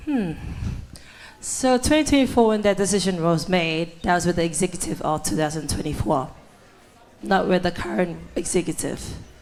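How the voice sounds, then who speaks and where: Lively intonation from a woman of fairly low pitch, moderate pace with long, frequent pauses, amid noticeable background noise. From Cook Islands. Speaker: student election candidate. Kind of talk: debate. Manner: halting.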